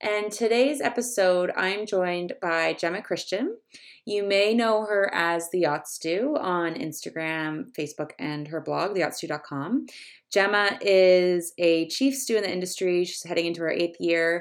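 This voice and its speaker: In a Canadian accent, a woman uses a plain, everyday voice at a medium pitch with lively intonation. She speaks at a fairly slow pace on a very clean recording with a silent background. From Canada. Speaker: podcast host. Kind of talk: casual interview.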